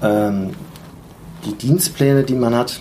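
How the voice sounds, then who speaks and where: A man's voice comes through over noticeable background noise. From Germany, Mainz area. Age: 30s. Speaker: airline co-pilot and app founder. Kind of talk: interview. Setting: recorded on location in the USA.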